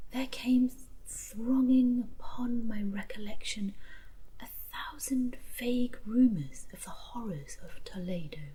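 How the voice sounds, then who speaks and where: A soft-spoken woman talks very slowly in a calm tone while noticeable background noise carries on behind her. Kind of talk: soft spoken story reading. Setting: campfire ambience. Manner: soft-spoken, calm.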